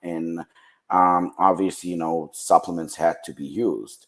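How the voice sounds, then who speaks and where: Very deep, low male voice with a Ukrainian accent at a moderate pace. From western Ukraine. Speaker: supplement company founder. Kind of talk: podcast interview.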